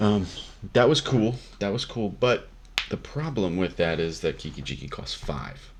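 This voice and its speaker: At a moderate pace, a man talks in a fairly low pitch that makes very wide swings. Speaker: Magic card game content creator. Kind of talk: deck tech explanation. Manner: casual, many fillers.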